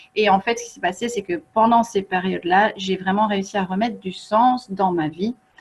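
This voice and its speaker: This woman's pitch sits in the medium range with ordinary variation. She keeps a moderate pace. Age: 40s. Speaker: feng shui coach and author. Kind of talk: online workshop presentation. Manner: hesitant, many fillers.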